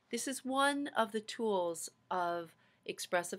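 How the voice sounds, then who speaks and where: A woman speaks in a calm, soothing tone. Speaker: seminary faculty lecturer. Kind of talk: lecture with a guided visualization segment. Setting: video lecture. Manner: slow, calm, soothing guided-meditation pacing; explanatory, friendly, welcoming. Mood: calm, reflective. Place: home room. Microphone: webcam.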